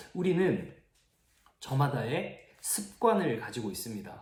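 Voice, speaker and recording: Very wide pitch swings come through audible room echo and noticeable background noise. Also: man. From Gyeongsang region, South Korea. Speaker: youth pastor. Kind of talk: sermon.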